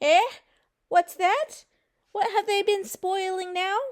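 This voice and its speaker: In a put-on character voice with an extremely high pitch, a woman speaks at a fairly slow pace. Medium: read story.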